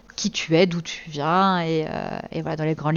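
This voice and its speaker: The voice has a very deep, low pitch. It belongs to a woman. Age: 30s. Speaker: streamer and interview host. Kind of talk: interview. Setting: live stream.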